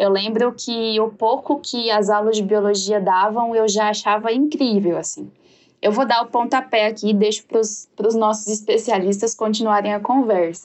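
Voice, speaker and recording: A woman's fairly high, plain, everyday voice at a moderate pace with fairly even intonation. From Jataí, Goiás, Brazil. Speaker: podcast host. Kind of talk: casual chat.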